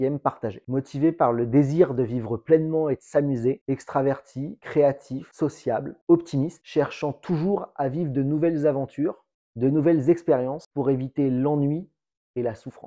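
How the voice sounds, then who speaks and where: A man's fairly high voice, fairly slow in pace, with ordinary pitch variation. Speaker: real estate agent. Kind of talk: vlog monologue. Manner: loud.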